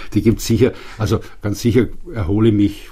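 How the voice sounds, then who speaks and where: A man speaks at a moderate pace in a fairly low pitch, his dark, mellow tone marked by vocal fry. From Upper Bavaria, Germany. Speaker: institute director, physical chemist. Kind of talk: interview. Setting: studio.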